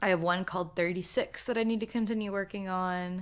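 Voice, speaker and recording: Using a plain, everyday voice, a woman talks at a medium pitch with ordinary pitch variation. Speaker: YouTuber, artist and writer. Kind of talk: solo livestream Q&A. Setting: livestream.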